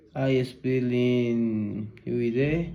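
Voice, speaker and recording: With a Spanish accent, a man talks at medium pitch in a dark, mellow tone, and room echo is audible. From Ecuador. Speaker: university student learning English. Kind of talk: language practice conversation. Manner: halting, many filler sounds.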